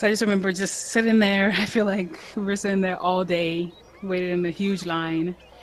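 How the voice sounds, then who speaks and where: Through noticeable background noise, a woman talks at a fairly quick pace and medium pitch. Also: fairly even intonation. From Ghana. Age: 20s. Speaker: adopted daughter of host. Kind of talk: casual interview chat.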